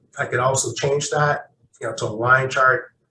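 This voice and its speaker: A man speaks in a bright, sharp tone. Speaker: workshop presenter. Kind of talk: tutorial.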